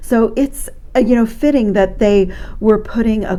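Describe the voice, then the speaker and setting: A woman's fairly high voice amid noticeable background noise and audible room echo. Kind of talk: product review tutorial.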